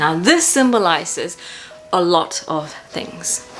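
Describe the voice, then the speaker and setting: Over music in the background, a woman with a New Zealand accent speaks at a very slow pace. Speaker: makeup artist and painter. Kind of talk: casual talk to camera.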